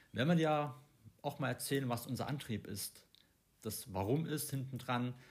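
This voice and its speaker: A man talks at a moderate speed in a somewhat breathy voice, his pitch varying in an ordinary way. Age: 30s. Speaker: podcast host, coach and trainer. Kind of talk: casual chat. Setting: abroad on Koh Samui.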